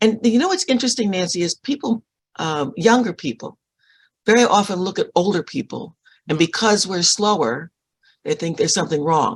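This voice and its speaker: A woman talks at a fairly quick pace with lively intonation and a somewhat breathy voice. The sound is dry and close with no echo, over a quiet background. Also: medium pitch for a woman. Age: 70s. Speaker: author and book publisher. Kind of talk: casual interview chat. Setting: live online show with chat. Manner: halting, repeating words.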